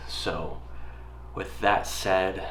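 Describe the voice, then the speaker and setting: Against noticeable background noise and audible room echo, a man's very deep, low voice swings very widely in pitch. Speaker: travel videographer. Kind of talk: casual talk to camera. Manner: halting.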